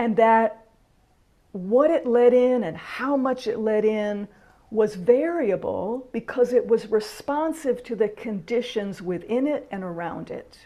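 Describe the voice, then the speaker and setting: A dark, mellow tone moves at a fairly slow pace, with ordinary pitch variation and big swings in loudness. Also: woman, fairly high pitch for a woman. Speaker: minister leading online spiritual gathering. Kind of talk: teaching talk in casual video call. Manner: quiet.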